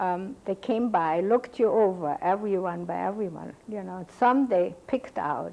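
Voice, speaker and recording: Against a very clean, silent background, a woman with a German accent speaks at a moderate pace and medium pitch in a dark, mellow tone. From Cologne, Germany. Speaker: Holocaust survivor. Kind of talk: oral history interview answer.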